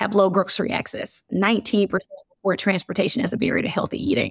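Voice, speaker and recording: A woman with a normal speaking voice speaks at a medium pitch and a moderate pace with ordinary pitch variation, in a very clean recording with a silent background and a dry, close sound with no echo. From US South, Birmingham, Alabama. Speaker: business executive. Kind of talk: interview.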